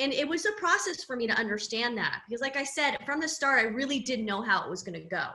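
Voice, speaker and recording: A woman with an American accent talks very fast in a raised, projected, high voice with a bright, sharp tone and very wide pitch swings. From Southern California. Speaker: personal branding coach. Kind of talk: casual interview chat.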